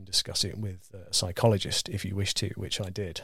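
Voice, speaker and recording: This man's voice sits fairly low and sounds somewhat breathy. He talks at a fairly quick pace. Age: 30s. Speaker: guitar builder. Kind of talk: casual chat. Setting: studio. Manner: halting.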